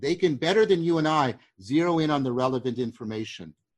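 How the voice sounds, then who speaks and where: An unremarkable speaking voice with lively intonation at a moderate pace over a quiet background. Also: man. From Canada. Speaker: cognitive science professor. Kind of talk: intellectual discussion.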